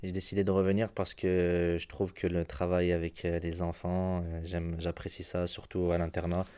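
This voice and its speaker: On a very clean recording with a silent background, a man speaks with a very deep, low pitch and a dark, mellow tone. His intonation is monotone and flat, his pace moderate, with hardly any pauses. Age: 20s. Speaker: boarding school educator. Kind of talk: interview. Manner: halting, with fillers.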